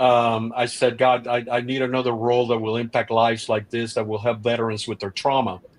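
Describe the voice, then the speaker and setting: Over noticeable background noise, the voice runs at a fairly quick pace with monotone, flat intonation. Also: man, medium pitch for a man. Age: 60s. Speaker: restaurateur and actor. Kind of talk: casual chat. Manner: halting.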